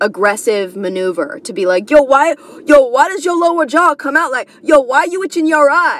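A loud woman speaks with a New York accent and very wide pitch swings. Noticeable background noise sits behind her. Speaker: comedian. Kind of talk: casual monologue. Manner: rambling.

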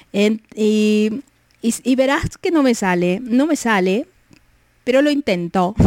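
Very even in loudness, a woman speaks very slowly at a fairly high pitch with lively intonation, the sound dry and close with no echo. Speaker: radio host. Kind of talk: casual chat. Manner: drawls words.

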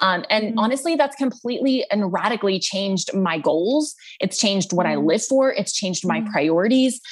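Her pitch fairly high and her voice somewhat breathy, a woman speaks at a very fast pace with hardly any pauses and lively intonation. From Texas. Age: 30s. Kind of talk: casual interview chat. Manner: animated.

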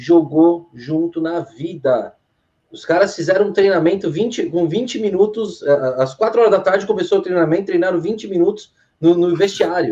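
The man's voice is high-pitched, with a dark, mellow tone. His pitch variation is ordinary. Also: moderate pace. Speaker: football podcast panelist. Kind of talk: casual chat. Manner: halting.

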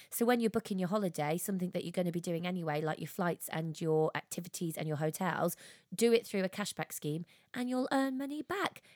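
In a very clean recording with a silent background and a dry, close sound with no echo, a woman speaks in a fairly low voice with an animated, cheerful tone and lively intonation. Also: fairly quick pace. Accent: English Midlands. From English Midlands. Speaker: podcast co-host. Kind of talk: casual chat.

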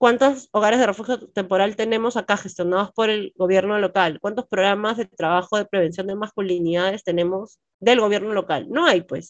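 A woman speaks in a plain, everyday voice at medium pitch with ordinary pitch variation. She moves at a fairly quick pace with hardly any pauses. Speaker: lawyer. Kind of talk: interview.

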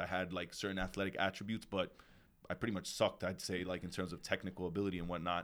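This is a man with a very deep, low pitch. The recording is very clean, with a silent background. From New York City. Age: 30s. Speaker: retired pro footballer and coach. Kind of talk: casual chat.

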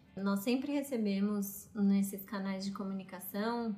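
Over noticeable background noise and audible room echo, a woman at medium pitch speaks at a moderate pace with fairly even intonation. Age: 30s. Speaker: podcast co-host. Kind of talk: casual chat.

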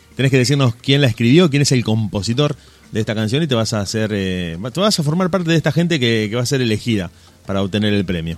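A man with an Argentine accent, very fast and lively in intonation. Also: medium pitch for a man. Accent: Rioplatense Argentine Spanish. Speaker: internet radio host. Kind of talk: radio show. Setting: studio.

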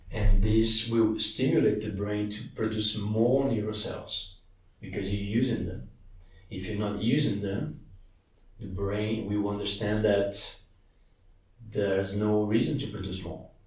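A man's fairly low voice with a Portuguese accent, a fairly slow pace, long, frequent pauses, fairly even intonation and audible room echo. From Brazil. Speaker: meditation teacher. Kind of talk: interview. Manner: hesitant, with fillers.

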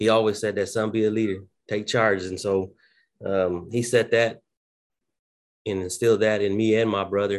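Over a quiet background, a man with an American accent speaks in a fairly low, monotone, flat voice at a moderate pace, with long, frequent pauses. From southwest Oklahoma. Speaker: school principal. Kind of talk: casual interview.

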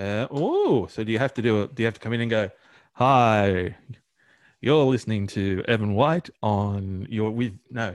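Medium pitch from a man at a moderate pace, ordinary pitch variation, very clean recording and silent background. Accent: Australian. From Australia. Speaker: podcast co-host. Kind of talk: casual banter between co-hosts, with a radio-style sign-off.

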